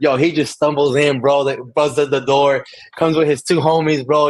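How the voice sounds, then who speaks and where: At a moderate pace, a man talks in an animated tone with a fairly high pitch. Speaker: podcast guest, content creator. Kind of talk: casual chat. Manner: loud.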